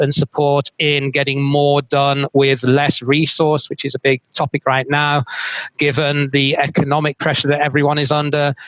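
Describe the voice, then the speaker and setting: In a British accent, a man with a fairly high pitch is heard with a dry, close sound and no echo. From UK. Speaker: moderator, procurement consultant. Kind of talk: webinar panel moderation. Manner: hesitant fillers.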